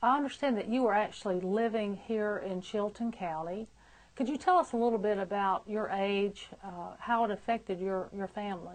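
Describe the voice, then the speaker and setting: Speaking at a moderate pace, a woman has a normal speaking voice, medium in pitch with ordinary pitch variation. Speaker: nurse interviewer. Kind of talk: interview questions.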